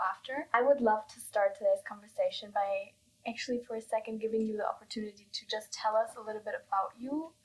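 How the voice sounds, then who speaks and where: A woman talking at a very fast pace with fairly even intonation. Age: 20s. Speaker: podcast host. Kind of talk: casual interview.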